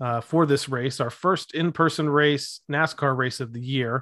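Against a quiet background, a man talks at a moderate pace in a medium pitch. He has an ordinary speaking voice, and the sound is dry and close with no echo. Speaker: podcast host and racing fan. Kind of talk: casual podcast recap.

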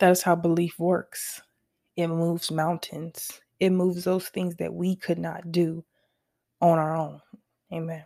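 A woman's fairly low voice with an American accent, monotone and flat, at a fairly slow pace with long, frequent pauses, on a very clean recording with a silent background. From US West Coast, Los Angeles. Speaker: author, designer and music artist. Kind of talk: personal testimony monologue.

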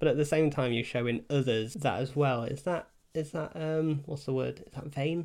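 In a normal speaking voice, a man talks at a moderate pace with a fairly high pitch and hardly any pauses. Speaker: podcast host. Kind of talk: casual chat. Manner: casual, chatty.

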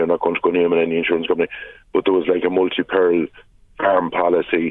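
In a western Irish accent, a man speaks with a very deep, low pitch. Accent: rural west of Ireland. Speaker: politician. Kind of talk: radio interview.

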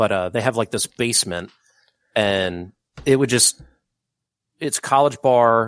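At a fairly slow pace and medium pitch, a man speaks with ordinary pitch variation and long, frequent pauses, in a dry, close sound with no echo. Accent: American. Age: 30s. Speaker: podcast co-host. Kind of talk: casual chat.

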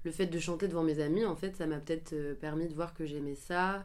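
A fairly low-pitched woman's voice with fairly even intonation. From western France (Angers). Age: 20s. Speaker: singer. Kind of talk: interview. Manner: hesitant, many fillers.

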